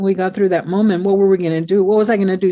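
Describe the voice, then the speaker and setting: The tone here is dark and mellow. The background stays quiet. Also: woman. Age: 70s. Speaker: poet and professor. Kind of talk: conversational interview. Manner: halting, many repetitions.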